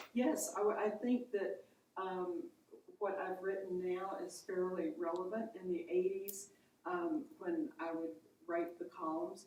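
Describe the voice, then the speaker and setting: A woman at a medium pitch talks at a fairly slow pace, with audible room echo. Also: ordinary pitch variation. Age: 70s. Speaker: writer, conference attendee. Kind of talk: casual chat. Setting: writers conference session.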